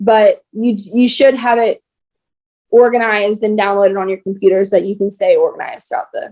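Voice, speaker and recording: At a fairly quick pace, a woman speaks in a fairly high pitch with a dark, mellow tone. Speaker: insurance agency team leader. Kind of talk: team meeting instructions. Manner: fast.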